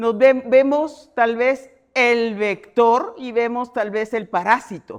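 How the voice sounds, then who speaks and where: A woman speaks loudly. The background is quiet. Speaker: entomologist, university researcher. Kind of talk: keynote lecture at a congress.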